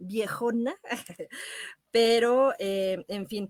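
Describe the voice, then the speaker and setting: A woman speaks at a fairly high pitch, her voice dry and close with no echo. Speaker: radio host and actress. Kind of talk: radio show host talk, film recommendations. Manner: warm, friendly.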